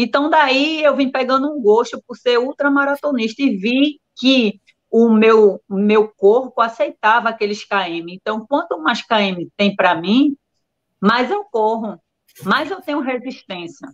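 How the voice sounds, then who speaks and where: Recorded with a dry, close sound and no echo, a woman with a high pitch speaks very slowly with lively intonation. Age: 40s. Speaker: ultramarathon runner. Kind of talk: casual live-stream interview.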